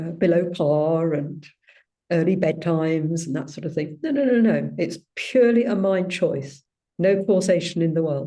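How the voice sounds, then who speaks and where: In a British accent, a woman speaks at a moderate pace in a fairly low pitch, her tone dark and mellow, with ordinary pitch variation. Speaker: spiritual group leader, also ski instructor. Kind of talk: personal sharing in a spiritual gathering.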